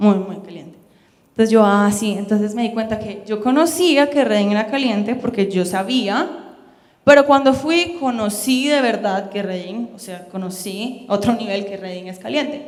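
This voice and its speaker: A woman speaks with lively intonation and big swings in loudness. The recording has audible room echo and noticeable background noise. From Colombia. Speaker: missionary and Bible school student. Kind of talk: sermon. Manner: fast.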